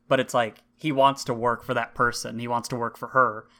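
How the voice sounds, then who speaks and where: On a very clean recording with a silent background, a man speaks fairly quickly in a bright, sharp tone with monotone, flat intonation. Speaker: podcast co-host. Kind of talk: casual chat.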